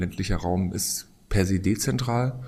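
Audible room echo surrounds a man's voice. His pitch is fairly low. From eastern Germany (Bautzen, Upper Lusatia). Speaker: design professor. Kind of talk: interview. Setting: on site at a conference. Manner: hesitant, many fillers.

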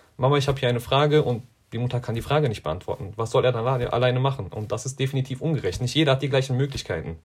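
A somewhat breathy man at a very fast pace, medium in pitch with ordinary pitch variation. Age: 20s. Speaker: school coordinator for tutoring initiative. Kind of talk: interview. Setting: video call.

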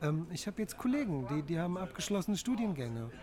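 This man's voice is pitched high. It carries a dark, mellow tone. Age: 40s. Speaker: bicycle food courier and works council member. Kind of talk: interview. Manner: hesitant, frequent fillers.

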